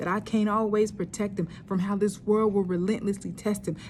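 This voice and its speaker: A woman talks at a fairly quick pace in a somewhat breathy, dark, mellow voice of medium pitch, her intonation flat and monotone. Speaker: spoken word poet. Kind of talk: spoken word poetry performance.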